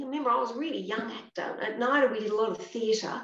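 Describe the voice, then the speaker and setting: A woman with an Australian accent talks at a fairly quick pace with ordinary pitch variation, and room echo is audible. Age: 60s. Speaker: actress. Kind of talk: casual chat. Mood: warm, animated. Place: home room. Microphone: video call.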